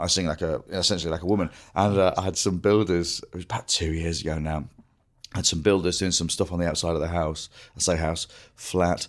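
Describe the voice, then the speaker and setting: In a very clean recording with a silent background, a man speaks with a very deep, low pitch and monotone, flat intonation. His pace is very fast, broken by long, frequent pauses. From northern England, Grimsby. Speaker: comedian. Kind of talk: casual chat.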